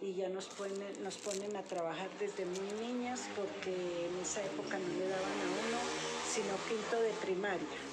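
A woman speaks at a fairly slow pace and medium pitch, her intonation fairly even. Noticeable background noise and audible room echo fill the recording. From Colombia, Boyacá (Pesca), later Bogotá. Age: 70s. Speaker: retired police officer, grandmother. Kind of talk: interview.

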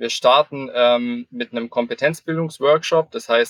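Speaking at a moderate pace, a man has a fairly high pitch and ordinary pitch variation. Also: dry, close sound with no echo. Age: 20s. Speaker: lean construction consultant, civil engineer. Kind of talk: interview. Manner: frequent filler hesitations.

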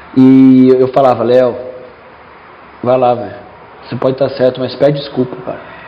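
Against noticeable background noise, a man speaks at a medium pitch and a moderate pace. His intonation is monotone and flat, with long, frequent pauses. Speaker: podcast host, futsal team member. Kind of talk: casual interview chat.

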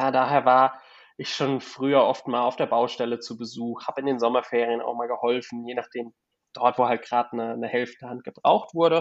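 Monotone, flat intonation at a fairly quick pace. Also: man, medium pitch for a man. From Germany, Palatinate (Kaiserslautern). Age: 20s. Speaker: real estate investor. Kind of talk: interview. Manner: halting, repeats words.

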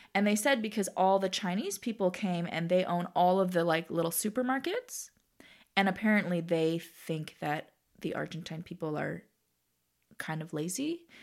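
A woman with a Canadian accent at medium pitch and a moderate pace. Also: ordinary pitch variation, very clean recording, silent background. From Toronto, Canada (Scarborough). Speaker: stand-up comedian. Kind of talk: casual interview. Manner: animated.

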